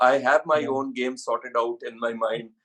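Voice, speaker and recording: This man talks at a moderate pace with a medium pitch. His tone is bright and sharp. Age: 60s. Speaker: actor and model. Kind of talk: interview answer.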